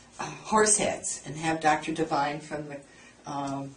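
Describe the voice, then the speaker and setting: Speech comes at a moderate pace with ordinary pitch variation. Noticeable background noise and audible room echo surround it. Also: woman. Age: 70s. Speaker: dermatology patient. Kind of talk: casual chat.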